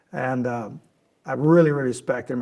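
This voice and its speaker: A man's animated voice at a medium pitch. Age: 60s. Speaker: oil and gas investment executive. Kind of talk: interview conversation. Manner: animated storytelling.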